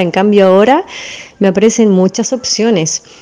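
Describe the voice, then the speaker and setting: A woman with a Chilean accent talks at a moderate pace and a fairly high pitch with ordinary pitch variation over noticeable background noise. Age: 40s. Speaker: dance teacher. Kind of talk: interview.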